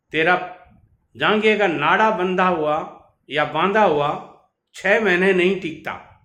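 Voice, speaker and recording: There's audible room echo around this man. His voice sits fairly high and his intonation is lively. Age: 70s. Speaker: business advice youtuber, contractor. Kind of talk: storytelling monologue.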